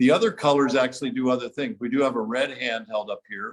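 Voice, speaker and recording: Pitch variation stays ordinary for this man. He speaks at a fairly quick pace. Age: 60s. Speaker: light therapy product developer. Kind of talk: interview. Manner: hesitant fillers.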